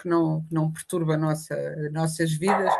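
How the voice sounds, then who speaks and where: Moderately paced speech from a woman, fairly low in pitch. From Portugal. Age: 60s. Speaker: writer and journalist. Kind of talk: interview. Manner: animated.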